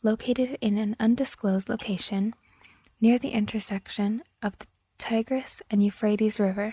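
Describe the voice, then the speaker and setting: Soft-spoken and somewhat breathy, a woman with a fairly high, dark, mellow voice talks at a moderate pace with fairly even intonation, in a dry, close sound with no echo. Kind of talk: ASMR story reading.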